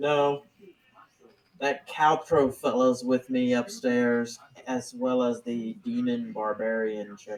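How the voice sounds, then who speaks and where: This man uses a put-on character voice that sounds robotic, pitched at a medium level. He moves at a fairly slow pace. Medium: actual play. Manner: laid-back, folksy.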